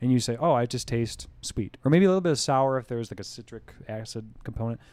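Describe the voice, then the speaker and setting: An unremarkable speaking voice from a man, medium in pitch with ordinary pitch variation, at a fairly quick pace. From US Northeast (rural western New York, southern tier). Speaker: brewery co-founder and head brewer. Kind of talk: casual interview chat. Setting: brewery office.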